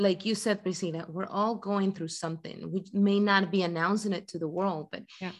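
Speaking at a moderate pace with hardly any pauses, a woman has a medium-pitched voice and a Spanish accent. Her intonation is monotone and flat. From Ecuador. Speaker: guest. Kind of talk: casual chat. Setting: video call.

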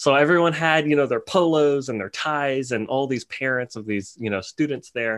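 Using an ordinary speaking voice, a man with an American accent talks at a moderate pace with hardly any pauses, his pitch fairly high with ordinary variation. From New Orleans, Louisiana, later Dallas, Texas. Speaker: lighting designer. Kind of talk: casual interview. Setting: remote call.

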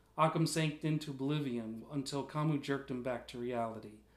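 Ordinary pitch variation from an unforced reading voice

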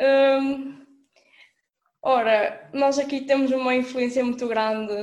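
Delivered at a very slow pace in a Minho accent, the speech has fairly even intonation. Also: woman. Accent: noticeable Minho. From northern Portugal, Alto Minho (Monção). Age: young. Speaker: student. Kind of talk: casual chat. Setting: remote call.

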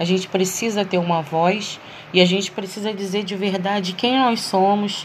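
Over noticeable background noise, a woman of medium pitch speaks at a fairly slow pace with fairly even intonation. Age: 40s. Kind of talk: solo monologue reflection.

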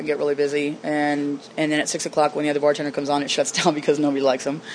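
Very fast speech over noticeable background noise. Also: woman. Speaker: bartender. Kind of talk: casual interview. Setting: in a bar.

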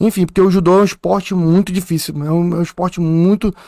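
At a moderate pace, a man speaks with a high pitch. The recording is very clean, with a silent background. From Manaus, Amazonas, Brazil. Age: 30s. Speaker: police captain and wrestler. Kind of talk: podcast interview.

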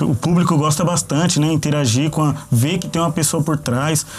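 Speaking at a moderate pace, a man has a fairly high pitch and ordinary pitch variation. Noticeable background noise can be heard. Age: 20s. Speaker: online shop co-founder. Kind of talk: interview. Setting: studio.

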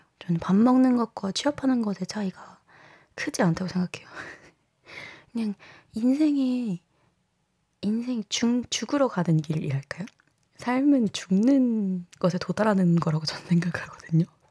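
A woman's medium-pitched, somewhat breathy voice with lively intonation, a fairly slow pace and long, frequent pauses, in a very clean recording with a silent background and a dry, close sound with no echo. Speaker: podcast host. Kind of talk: casual solo podcast monologue. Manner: conversational, candid, chatty.

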